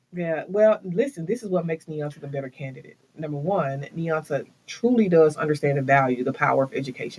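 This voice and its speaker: With an American accent, a man talks at a fairly quick pace with hardly any pauses, a fairly high pitch and ordinary pitch variation. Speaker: school board candidate. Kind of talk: interview. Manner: fast.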